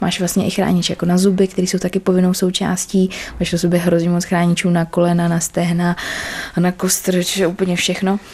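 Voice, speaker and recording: A woman talks at a fairly quick pace with a medium pitch. Noticeable background noise runs through the recording. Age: young. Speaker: chef and American football player. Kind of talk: casual chat. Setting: at her home.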